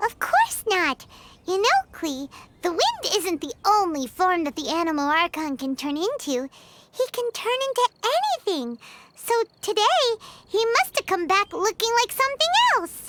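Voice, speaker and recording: A put-on character voice at an extremely high pitch. The pace is moderate. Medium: video game. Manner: lively, chatty.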